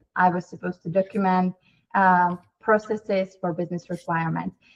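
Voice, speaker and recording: This is a woman's somewhat breathy voice. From Czech Republic. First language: Czech. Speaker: company CEO. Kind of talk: interview.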